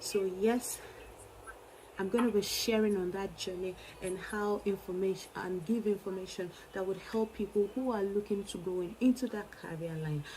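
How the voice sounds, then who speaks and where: A woman with a medium pitch talks at a moderate pace, and noticeable noise is heard in the background. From Nigeria. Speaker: early childhood educator and YouTuber. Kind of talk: vlog monologue. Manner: animated.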